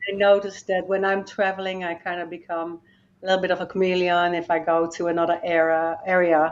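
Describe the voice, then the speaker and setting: With a Dutch accent, a woman speaks at a fairly quick pace in a fairly low pitch, her intonation monotone and flat. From Netherlands. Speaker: life coach and motivational speaker. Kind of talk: interview podcast conversation.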